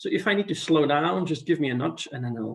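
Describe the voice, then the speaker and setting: Speaking with a non-native accent, a man uses lively intonation at a fairly high pitch. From Belgium. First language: not English. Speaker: international scouting committee member. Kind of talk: presentation on video call. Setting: video call.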